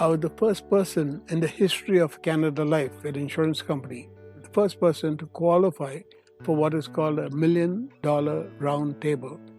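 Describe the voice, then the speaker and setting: With music in the background, a man speaks at a moderate pace and fairly high pitch, with ordinary pitch variation. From India. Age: 80s+. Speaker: retired finance and insurance veteran, real estate investor. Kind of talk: interview answer.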